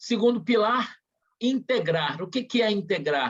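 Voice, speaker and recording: A man talks with ordinary pitch variation. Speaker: spiritist center leader. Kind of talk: presentation in an online meeting. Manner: halting.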